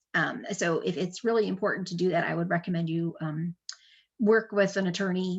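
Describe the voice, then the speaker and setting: A woman talks at a fairly quick pace in a fairly low, somewhat breathy voice. Her pitch varies in an ordinary way, and the background is quiet. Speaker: estate planning attorney. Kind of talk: webinar presentation with Q&A. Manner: fast; many filler words (um, uh).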